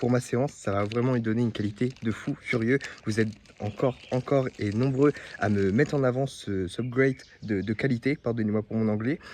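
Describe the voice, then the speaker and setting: A man talks fairly quickly in a medium pitch, his pitch varying in an ordinary way. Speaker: fitness vlogger. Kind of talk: casual vlog. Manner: fast; energetic.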